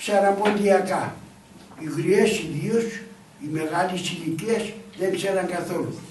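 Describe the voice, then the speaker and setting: Speaking at a fairly slow pace with long, frequent pauses, a man uses a high pitch and ordinary pitch variation, with noticeable background noise and audible room echo. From northern Greece, Pontic refugee family in Oraiokastro. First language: Pontic Greek (speaking Greek). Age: 80s+. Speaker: elderly local storyteller. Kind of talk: storytelling to schoolchildren.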